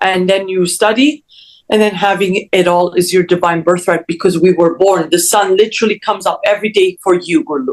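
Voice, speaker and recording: The speech moves at a fairly quick pace. Its loudness is very even, with ordinary pitch variation. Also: woman, medium pitch for a woman. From Canada, Toronto. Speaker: mindset coach. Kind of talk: interview. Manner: animated.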